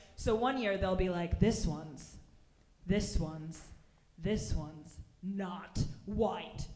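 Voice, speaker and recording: Against noticeable background noise and audible room echo, a woman with a medium pitch speaks very slowly with long, frequent pauses. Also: ordinary pitch variation. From Russia. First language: Russian. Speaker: stand-up comedian. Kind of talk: stand-up. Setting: stage with audience.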